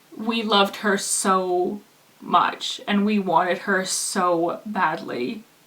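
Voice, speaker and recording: Very slow speech from a woman, noticeable background noise behind it. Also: medium pitch for a woman, ordinary pitch variation. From Canada. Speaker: vlogger. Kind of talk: personal vlog testimony. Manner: halting, many fillers.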